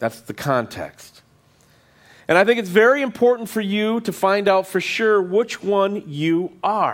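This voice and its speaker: A man speaks at a high pitch with ordinary pitch variation. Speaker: pastor. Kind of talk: sermon. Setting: church with congregation. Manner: fast.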